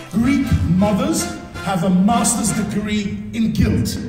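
Over clear background music and audible room echo, a man talks at a very slow pace in a high pitch with ordinary pitch variation. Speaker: entertainer, actor, MC. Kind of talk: live stand-up comedy. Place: stage.

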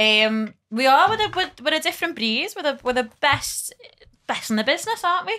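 A woman in a Liverpool accent, high-pitched with a bright, sharp tone, raised and projected, fairly quick, with very wide pitch swings. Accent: Scouse. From Liverpool, England. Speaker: comedy podcast guest. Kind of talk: casual chat. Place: studio. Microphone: studio mic.

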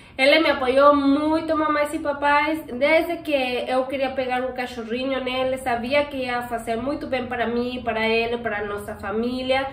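A woman speaks at a moderate pace in a high pitch, with a non-native accent and fairly even intonation. There is light background noise and audible room echo, and she hardly pauses at all. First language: not Portuguese (speaking Portuguese). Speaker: pet channel host. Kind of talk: Q&A casual chat. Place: home room. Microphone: camera far.

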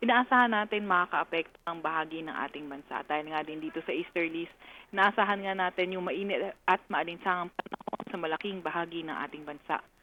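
A woman talks at a fairly quick pace with hardly any pauses and ordinary pitch variation. Noticeable background noise runs underneath. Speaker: weather specialist. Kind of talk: weather report. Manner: formal; brisk, even, informative.

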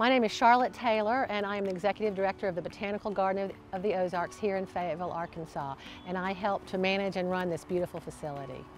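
Against faint background music, a woman talks at a very fast pace with ordinary pitch variation, in a dry sound with no echo. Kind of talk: interview answer. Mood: warm, proud. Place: garden.

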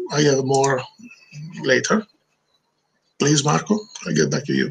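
A man speaks with an Italian accent over light background noise. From Italy. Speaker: video director; webinar presenter. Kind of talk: webinar presentation. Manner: halting. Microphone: video call.

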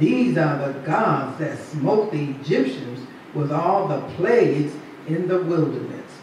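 Strong room echo and light background noise surround this recording. The woman speaking has a fairly low pitch. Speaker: preacher. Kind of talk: sermon. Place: church.

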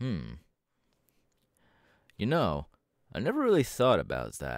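In a put-on character voice, a man speaks low and slow, with vocal fry and very wide pitch swings. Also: very clean recording, silent background.

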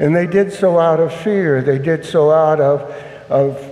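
Audible room echo surrounds a man whose fairly high pitch moves with ordinary variation as he talks at a fairly slow pace. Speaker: priest. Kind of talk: homily at Mass. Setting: church. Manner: earnest, solemn; firm, measured. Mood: earnest, compassionate.

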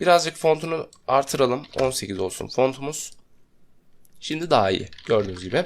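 With vocal fry and very wide pitch swings, a man talks at a moderate pace in a fairly high pitch. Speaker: software tutorial instructor. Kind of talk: screen-recorded tutorial.

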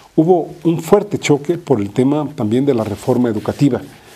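A man talks at a fairly quick pace with a fairly high pitch. He has a normal speaking voice and lively intonation. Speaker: political commentator. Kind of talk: political commentary monologue.

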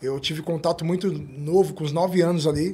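A man's voice, high in pitch. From São Paulo, south zone favela. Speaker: interview guest from the periphery; interview guest. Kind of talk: interview testimony. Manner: halting with repetitions. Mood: reflective, calm. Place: studio. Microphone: studio mic.

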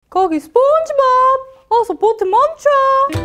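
An extremely high-pitched, put-on character voice over faint background music. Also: fairly slow pace. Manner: cartoonish, shouting.

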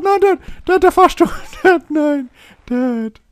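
A squeaky, high-pitched put-on character voice moves along at a very slow pace. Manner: shouting in alarm.

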